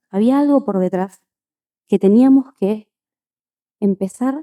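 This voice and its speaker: In a dry, close recording with no echo, a woman with an Argentine accent talks in a dark, mellow tone and lively intonation. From Argentina. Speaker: conference speaker, physician and quality engineer. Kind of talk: conference talk.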